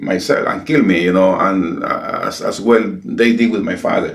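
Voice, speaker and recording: A man with a Spanish accent at a fairly slow pace, amid noticeable background noise and audible room echo. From El Salvador. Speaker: pastor. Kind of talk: interview. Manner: halting.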